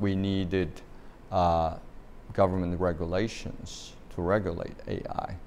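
In a Chinese accent, a man speaks at a very slow pace with a very deep, low pitch. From China. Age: 60s. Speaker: university president. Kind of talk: interview. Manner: hesitant, many fillers.

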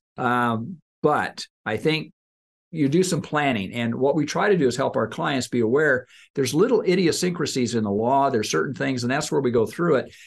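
An ordinary speaking voice moves at a moderate pace with lively intonation over a quiet background. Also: man, fairly high pitch for a man. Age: 60s. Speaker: financial planner and show host. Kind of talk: casual chat.

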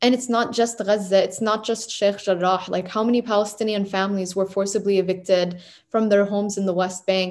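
A woman with an American accent speaks in an unremarkable speaking voice at a medium pitch. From New Hampshire, US. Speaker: graduate research fellow. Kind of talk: interview.

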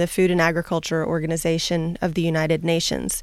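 On a very clean recording with a silent background, a woman speaks at a moderate pace. She has a plain, everyday voice, fairly low in pitch. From US Southeast. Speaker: agricultural researcher. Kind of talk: radio interview. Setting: radio studio.

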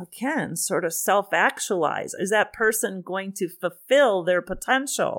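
A woman with an American accent at medium pitch, very slow pace, on a very clean recording with a silent background. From US Midwest (Wisconsin). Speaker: psychology professor. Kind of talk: interview conversation.

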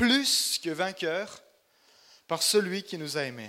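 This man's voice has a bright, sharp tone. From Burgundy, France (Chalon-sur-Saône). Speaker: missionary preacher. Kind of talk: sermon. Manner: halting, frequent repetitions and fillers.

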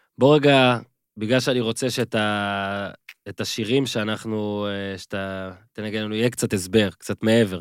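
A man's normal speaking voice, fairly low in pitch and fairly even in intonation, at a moderate pace, in a very clean recording with a silent background and a dry, close sound with no echo. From Israel, moshav. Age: 30s. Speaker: podcast host. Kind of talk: interview. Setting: studio.

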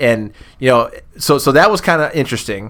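In an American accent, a man with an unremarkable speaking voice talks at a moderate pace and medium pitch with ordinary pitch variation, on a very clean recording with a silent background. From Massillon, Ohio. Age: 40s. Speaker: former booster club president. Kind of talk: casual interview chat.

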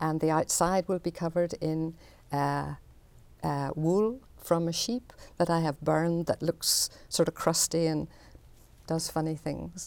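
In a Northern Irish accent, the speaker uses fairly even intonation with long, frequent pauses, in a very clean recording with a silent background. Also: woman, fairly low pitch for a woman. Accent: Northern Irish (Belfast). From Northern Ireland, Belfast. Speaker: artist. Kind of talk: interview.

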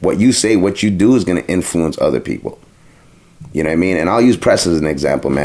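A man with a Toronto accent talks at a very fast pace. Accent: Toronto urban English. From Toronto, Jane and Finch. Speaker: DJ and radio host. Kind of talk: casual interview chat.

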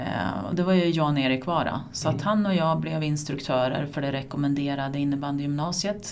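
Audible room echo carries a woman's voice with lively intonation. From Sweden, Askersund (Närke). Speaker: former floorball player and coach, teacher. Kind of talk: casual interview. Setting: at her workplace, a school.

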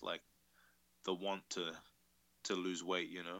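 Speaking with a New Zealand accent, a man delivers his words at a moderate pace in a very deep, low pitch and a monotone, flat intonation. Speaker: tattoo artist. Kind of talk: casual interview chat.

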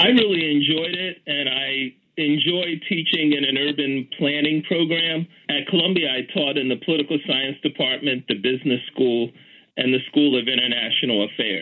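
In an American accent, a man with an ordinary speaking voice talks at a moderate pace and fairly high pitch, with ordinary pitch variation. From US Northeast, Philadelphia. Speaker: city official and urban planning professor. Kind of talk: interview. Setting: phone call.

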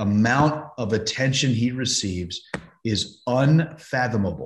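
A man with a somewhat breathy voice speaks fairly slowly, using lively intonation. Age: 50s. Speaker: golf broadcaster. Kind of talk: casual interview.

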